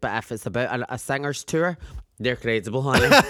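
Speaking fairly quickly with a British accent, a woman sounds animated, her intonation lively. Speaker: podcast co-host. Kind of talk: casual chat. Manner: animated, camp, joking.

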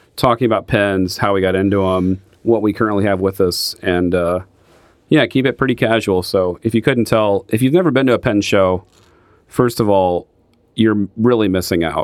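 With a normal speaking voice, a man talks at a moderate pace in a fairly low pitch, with very even loudness and ordinary pitch variation. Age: 30s. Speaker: podcast co-host and pen retailer. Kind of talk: casual chat.

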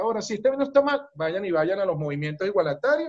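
A man speaks in an animated tone with a Venezuelan accent. His high-pitched voice makes very wide pitch swings. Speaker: business coach. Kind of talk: interview conversation. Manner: animated, forceful.

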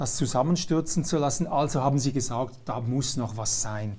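At a medium pitch and moderate pace, a man speaks in a normal speaking voice. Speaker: talk show host. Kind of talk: interview.

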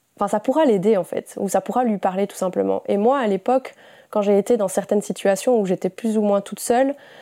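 In a very clean recording with a silent background and a dry, close sound without echo, a woman speaks at medium pitch with a dark, mellow tone and ordinary pitch variation. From Belgium. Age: 20s. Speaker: podcaster. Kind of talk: casual monologue. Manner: spontaneous, unscripted.

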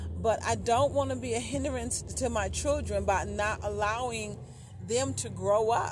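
At a fairly slow pace, a woman speaks with audible room echo around her voice. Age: 50s. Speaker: podcast host. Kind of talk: casual chat.

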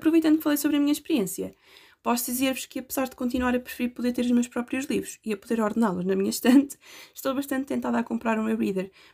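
In a European Portuguese accent, a woman talks at a very fast pace with a high pitch, a dark, mellow tone and ordinary pitch variation, recorded very cleanly over a silent background. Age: 20s. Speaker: university student. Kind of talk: scripted narration.

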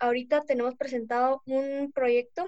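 High pitch and fairly even intonation from a woman, delivered at a fairly slow pace. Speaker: youth network member. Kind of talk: podcast interview.

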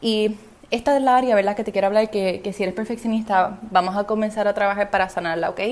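A woman talks at a very fast pace at medium pitch, with noticeable background noise. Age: 20s. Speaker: podcast host and business coach. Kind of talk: solo podcast monologue. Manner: animated.

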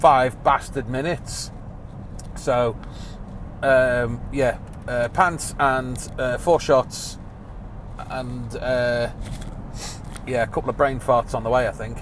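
A man with an English accent talks at a very slow pace, leaving long, frequent pauses. Noticeable background noise runs underneath. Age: 30s. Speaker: podcast host. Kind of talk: casual monologue. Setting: in a car. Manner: animated.

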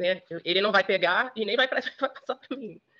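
A woman speaks with a medium pitch. Her tone is bright and sharp. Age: 50s. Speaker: journalist. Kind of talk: interview testimony.

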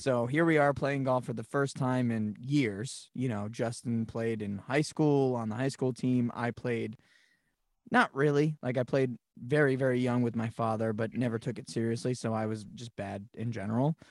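An ordinary speaking voice with an American accent and ordinary pitch variation. The recording is very clean, with a silent background and a dry, close sound with no echo. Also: man, medium pitch for a man, moderate pace. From New England, Massachusetts. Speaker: podcast co-host, creative business owner. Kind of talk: casual chat.

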